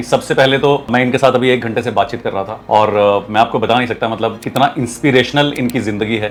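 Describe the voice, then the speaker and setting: This man talks at a moderate pace, his pitch medium and his intonation fairly even. Noticeable background noise sits behind him. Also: hardly any pauses. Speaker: podcast host and leadership coach. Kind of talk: podcast interview host.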